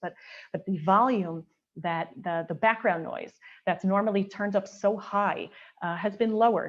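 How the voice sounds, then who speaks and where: Using a normal speaking voice, a woman talks at a fairly quick pace and medium pitch with ordinary pitch variation. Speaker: Orthodox woman speaker on mikveh. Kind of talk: panel talk / lecture.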